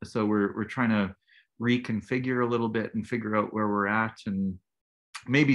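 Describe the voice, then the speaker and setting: A man's unremarkable speaking voice at a medium pitch, with a moderate pace and fairly even intonation. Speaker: band musician. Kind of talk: casual interview chat.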